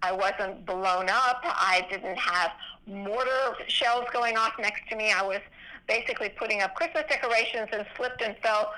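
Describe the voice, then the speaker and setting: A woman's fairly high, animated voice at a moderate pace, with ordinary pitch variation and noticeable background noise. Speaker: physician and veterans charity founder. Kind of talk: interview.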